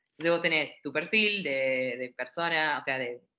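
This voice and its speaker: With a Rioplatense accent, a woman speaks in a very deep, low pitch with lively intonation. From Argentina, Buenos Aires south zone (Adrogué). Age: 30s. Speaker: English teacher. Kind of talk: interview.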